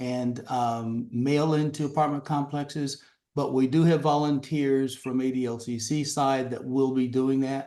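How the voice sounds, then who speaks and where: Pitch moves with ordinary variation. A dark, mellow tone colors the voice. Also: man. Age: old. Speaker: local party chair. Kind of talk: Q&A on a community video call. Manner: halting, many fillers.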